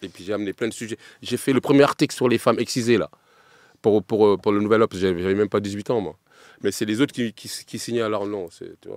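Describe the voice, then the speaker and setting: A man with a fairly low pitch talks at a very fast pace, his intonation fairly even while his loudness swings widely. The recording is very clean and silent in the background, with a dry, close sound and no echo. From Paris. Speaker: griot and storyteller. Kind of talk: podcast interview. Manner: halting.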